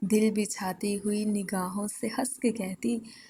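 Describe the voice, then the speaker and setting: Somewhat breathy and dark, mellow in tone, a woman speaks at a medium pitch in a monotone, flat delivery. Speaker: poetry reciter. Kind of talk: poetry reading. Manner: emotional, soulful.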